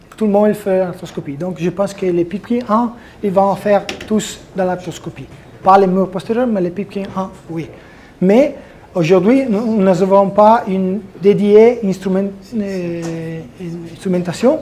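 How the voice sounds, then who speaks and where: Over noticeable background noise, a man with a high pitch talks very slowly with long, frequent pauses. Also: ordinary pitch variation. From Italy. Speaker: orthopedic surgeon. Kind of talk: conference presentation. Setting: conference hall with audience. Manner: halting.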